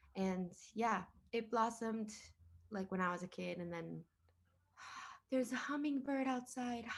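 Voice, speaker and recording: Speaking with a Spanish accent, a woman uses a fairly high pitch, ordinary pitch variation and a moderate pace, leaving long, frequent pauses. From Miami. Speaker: singer-songwriter. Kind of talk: interview. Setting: video call. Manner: casual, code-switching Spanglish.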